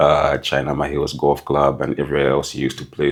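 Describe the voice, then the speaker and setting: A man with a very deep, low pitch talks very fast over noticeable background noise. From Zambia, Lusaka. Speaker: marketing and strategy executive. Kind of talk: podcast interview.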